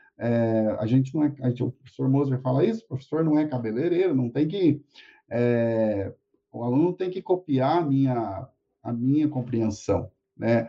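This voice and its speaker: A man with a normal speaking voice, medium in pitch, with ordinary pitch variation. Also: moderate pace. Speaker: university lecturer and interviewer. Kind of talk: live-streamed academic interview. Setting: live stream.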